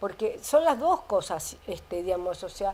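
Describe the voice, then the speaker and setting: Fairly slow speech in a Rioplatense accent, with very wide pitch swings. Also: woman. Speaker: biologist and author. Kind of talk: interview. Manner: halting.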